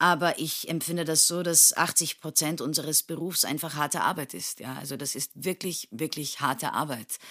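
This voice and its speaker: A woman with a very deep, low pitch and a bright, sharp tone, at a moderate pace with fairly even intonation and hardly any pauses, in a very clean recording with a silent background. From Turkey, Istanbul. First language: Turkish (speaking German). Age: 30s. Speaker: stage actress. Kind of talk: casual interview.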